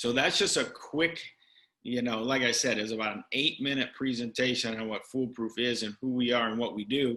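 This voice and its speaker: Against a quiet background, a man speaks in a medium-pitched, bright, sharp tone with fairly even intonation. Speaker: education director presenting curriculum. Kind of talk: professional development presentation. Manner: fast.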